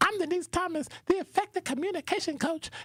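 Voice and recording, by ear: A squeaky, put-on character voice at an extremely high pitch moves along at a fairly quick pace.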